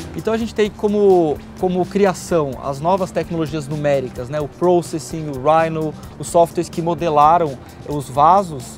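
Faint music plays in the background. A man speaks at a moderate pace with ordinary pitch variation. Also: fairly high pitch for a man, dry sound with no echo. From Brazil. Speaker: designer. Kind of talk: interview answer. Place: garden.

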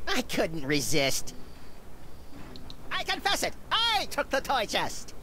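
Put-on character voice at a fairly slow pace with long, frequent pauses, over clear background noise. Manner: exaggerated, mock-dramatic.

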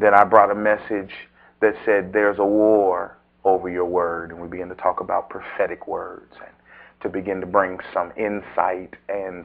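At a moderate pace, a man delivers his words in a monotone, flat intonation. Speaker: preacher. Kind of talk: sermon. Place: church.

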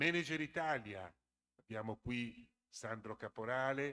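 This voice belongs to a man. He talks at a very slow pace. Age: 60s. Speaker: conference moderator, association secretary; conference moderator. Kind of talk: conference presentation. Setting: school auditorium with student audience. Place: hall. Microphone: podium.

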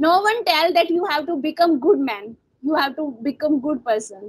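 A woman speaks fairly slowly in a high voice with ordinary pitch variation. The background is quiet. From India. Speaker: English tutor. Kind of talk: English practice conversation. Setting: video call. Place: home room. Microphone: earbuds.

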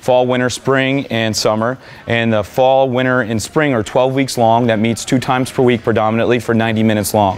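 A man talks at a fairly quick pace with hardly any pauses, very even loudness and monotone, flat intonation. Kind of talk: interview answer. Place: gym.

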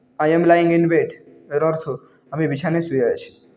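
A man speaks in a high pitch. Audible room echo surrounds his voice. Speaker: English language teacher. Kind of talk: tutorial.

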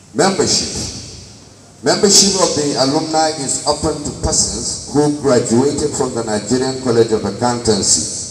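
Over light background noise and audible room echo, a man with a fairly high pitch speaks at a moderate pace with lively intonation. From Nigeria. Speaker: alumni association officer; presenter. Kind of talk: formal presentation. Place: hall.

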